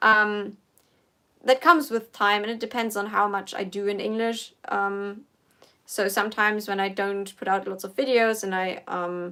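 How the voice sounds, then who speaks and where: In a very clean recording with a silent background, a woman with a German accent speaks in a bright, sharp tone with fairly even intonation. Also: medium pitch for a woman, moderate pace. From Germany. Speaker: political commentator. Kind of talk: casual livestream Q&A. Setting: livestream. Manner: halting.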